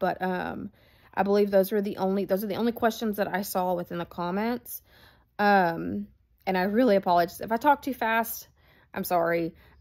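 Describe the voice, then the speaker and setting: A woman with a medium-pitched voice talks at a moderate pace with fairly even intonation on a very clean recording with a silent background. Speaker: dog groomer. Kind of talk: tutorial. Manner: hesitant, many fillers.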